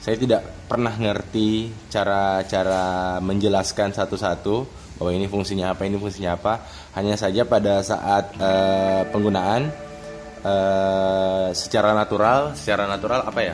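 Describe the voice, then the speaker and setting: A man talks in a South Sulawesi accent, his pitch fairly low and his intonation fairly even. He keeps a moderate pace while clear music plays in the background. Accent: Bone regional Indonesian. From Bone, South Sulawesi, Indonesia. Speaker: unboxing vlogger. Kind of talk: casual unboxing talk to camera. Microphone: phone near.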